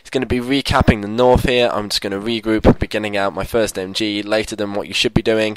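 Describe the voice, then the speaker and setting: A man rattles along at a very fast pace with hardly any pauses, his fairly low voice monotone and flat, the sound dry and close with no echo despite noticeable background noise. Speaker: gaming commentator. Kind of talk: gameplay commentary.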